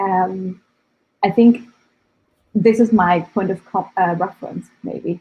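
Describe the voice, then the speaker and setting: A woman speaks at a very slow pace with a non-native accent, using long, frequent pauses. Her voice is somewhat breathy and medium in pitch, with fairly even intonation. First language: not English. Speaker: data scientist and developer. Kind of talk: interview. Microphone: connection drops.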